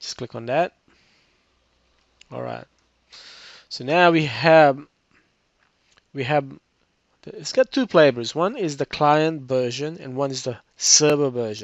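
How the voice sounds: A man speaks slowly at a medium pitch with ordinary pitch variation, vocal fry, and long, frequent pauses.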